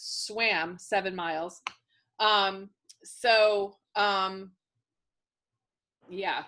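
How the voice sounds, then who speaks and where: Using a bright, sharp tone and monotone, flat intonation, a woman with an American accent speaks at a medium pitch and a very slow pace, with long, frequent pauses. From Worcester, Massachusetts. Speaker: romance author hosting reader Q&A. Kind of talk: live Q&A with readers. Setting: video call. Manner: casual, many filler ums.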